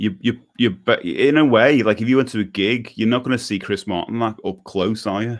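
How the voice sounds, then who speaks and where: In a Scouse accent, a man talks fairly quickly with hardly any pauses, at a medium pitch and with fairly even intonation. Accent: Scouse (Liverpool) English. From Liverpool, England. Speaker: podcast host for DIY musicians. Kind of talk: casual chat. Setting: live video stream.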